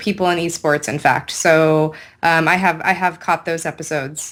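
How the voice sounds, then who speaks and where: Fairly low-pitched woman with a Californian accent, on a very clean recording with a silent background. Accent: Californian American English. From US West Coast, San Francisco Bay Area. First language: Hindi. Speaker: esports host. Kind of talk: interview.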